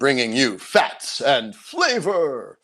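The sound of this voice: His voice is a put-on character voice. This man's pitch is fairly high.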